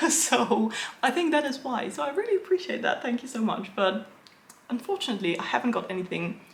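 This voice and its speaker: Against noticeable background noise, a woman with an English accent speaks at a moderate pace with lively intonation. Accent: English-sounding accent, learned. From Netherlands. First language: Dutch. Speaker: illustrator and book content creator. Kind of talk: Q&A video, casual chat.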